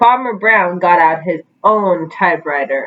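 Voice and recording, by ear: With lively intonation, a woman talks at a fairly slow pace in a fairly low pitch.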